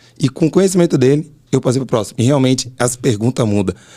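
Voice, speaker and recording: A man talks at a very fast pace with a dark, mellow tone. His pitch varies in an ordinary way. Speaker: driving instructor, podcast host. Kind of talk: casual chat.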